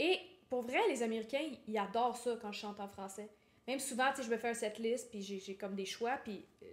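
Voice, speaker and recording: A woman with a Quebec accent, a fairly high pitch, ordinary pitch variation, and a fairly quick pace. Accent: Québécois French. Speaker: singer-songwriter. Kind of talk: interview.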